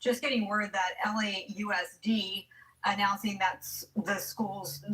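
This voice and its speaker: A woman speaks with a plain, everyday voice. Her pitch is medium and her intonation fairly even. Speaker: TV news anchor. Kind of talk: live breaking news coverage.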